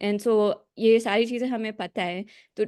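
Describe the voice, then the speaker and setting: Against a quiet background, a woman speaks in a fairly high voice with monotone, flat intonation. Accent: Pakistani. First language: Urdu. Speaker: meeting participant. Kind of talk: question in online meeting. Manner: halting.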